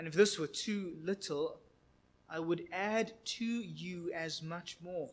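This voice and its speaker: The speech moves at a very slow pace, yet the intonation stays lively. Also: man. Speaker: preacher. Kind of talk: sermon, reading scripture. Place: church.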